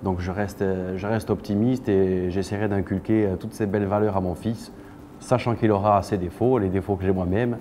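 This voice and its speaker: A man's fairly low, monotone, flat voice in a Corsican accent. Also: moderate pace. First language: Corsican (speaking French). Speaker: singer-songwriter and actor. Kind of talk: interview monologue. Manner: halting, many hesitations.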